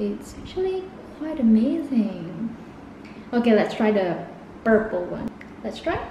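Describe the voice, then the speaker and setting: With noticeable background noise behind her, a woman talks at a fairly slow pace in a fairly high pitch with lively intonation. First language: not English. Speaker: beauty vlogger. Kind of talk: makeup review talk to camera.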